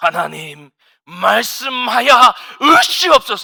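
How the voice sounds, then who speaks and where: At a fairly slow pace, a man uses a put-on character voice pitched high. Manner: pompous.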